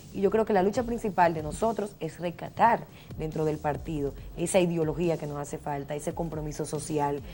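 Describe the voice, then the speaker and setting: Dark and mellow in tone, the voice moves at a fairly quick pace with ordinary pitch variation. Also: woman, very deep, low pitch for a woman. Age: 30s. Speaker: politician. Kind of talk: interview.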